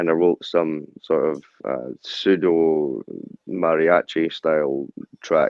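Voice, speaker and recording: A man speaks with a Scottish accent at a very deep, low pitch. His pace is very slow and his intonation fairly even. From central Scotland (Stirling). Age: 30s. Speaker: rapper and security guard. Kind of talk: interview.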